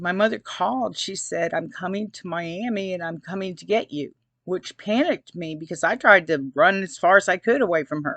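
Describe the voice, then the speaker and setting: A woman speaks at a moderate pace in an ordinary speaking voice, her pitch medium. The background is quiet. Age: 60s. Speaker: abuse survivor vlogger. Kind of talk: personal testimony. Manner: casual, conversational.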